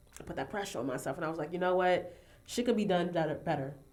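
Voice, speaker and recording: A woman talks at a very fast pace. Audible room echo surrounds her voice. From New York City, Harlem. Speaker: fashion designer. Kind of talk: casual podcast interview. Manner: chatty, animated.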